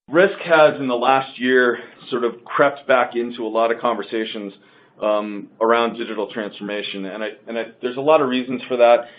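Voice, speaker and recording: Ordinary pitch variation, heard over noticeable background noise. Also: man, medium pitch for a man. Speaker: market research analyst presenting a webinar. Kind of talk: webinar presentation. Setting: online webinar. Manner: fast; hesitant with many fillers.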